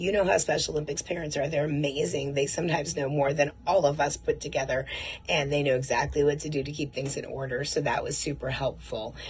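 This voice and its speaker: Against noticeable background noise, a woman with a very deep, low pitch talks in an animated tone at a very fast pace. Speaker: martial arts program representative. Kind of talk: recorded video message.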